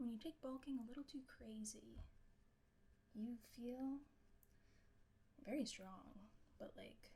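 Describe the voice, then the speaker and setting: A soft-spoken woman's high-pitched voice with a dark, mellow tone and ordinary pitch variation, very slow with long, frequent pauses. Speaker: streamer. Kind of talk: casual chat. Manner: quiet. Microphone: too quiet, held close to mic.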